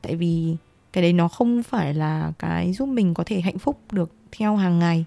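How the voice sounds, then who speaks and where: A woman's dark, mellow voice moves at a fairly slow pace in a dry, close recording with no echo. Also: fairly low pitch for a woman, ordinary pitch variation. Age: 20s. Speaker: podcast co-host, university student. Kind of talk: casual chat.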